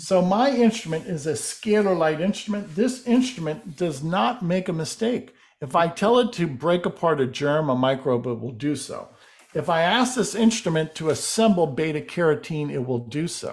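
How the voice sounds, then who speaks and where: The voice moves at a moderate pace. Its pitch swings very wide. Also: man, high pitch for a man. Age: 60s. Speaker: alternative healing researcher. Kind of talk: interview.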